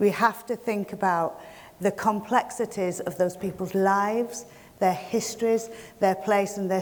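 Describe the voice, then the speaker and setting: A woman talks at a fairly slow pace in a Yorkshire accent. Her medium pitch keeps fairly even intonation. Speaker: community project manager. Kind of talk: welcome speech. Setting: stage with audience.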